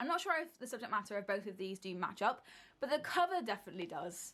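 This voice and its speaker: With a British accent, a woman speaks at a fairly quick pace and a fairly high pitch. Her tone is animated, bright and sharp. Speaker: book video creator. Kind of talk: casual monologue.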